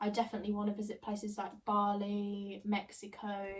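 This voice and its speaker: A woman with a fairly high pitch speaks at a moderate pace, and noticeable background noise can be heard. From northern England and Suffolk. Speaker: midwifery student and lifestyle vlogger. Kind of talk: casual Q&A vlog.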